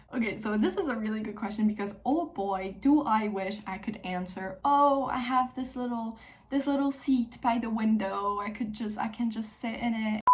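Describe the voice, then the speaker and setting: A woman with a French accent and a fairly high pitch, at a moderate pace with hardly any pauses. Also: ordinary pitch variation. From Switzerland, French-speaking. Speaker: book youtuber. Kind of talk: casual chat. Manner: casual, filler-heavy.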